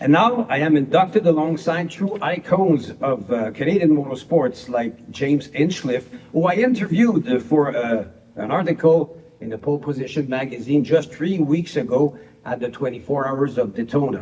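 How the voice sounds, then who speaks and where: Over noticeable background noise, a man with a Quebec French accent talks at a moderate pace in a fairly high voice with lively intonation. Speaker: motorsport broadcaster and race driver. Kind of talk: prepared acceptance speech read aloud. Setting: pre-recorded video.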